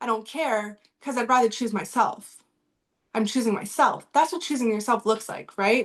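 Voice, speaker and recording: A woman's animated, fairly high-pitched voice with ordinary pitch variation. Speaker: relationship coach. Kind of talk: live online masterclass. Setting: video call.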